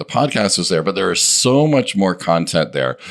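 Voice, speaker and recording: Over noticeable background noise, a man talks fairly quickly with lively intonation. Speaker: podcast co-host. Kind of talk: casual chat. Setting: studio.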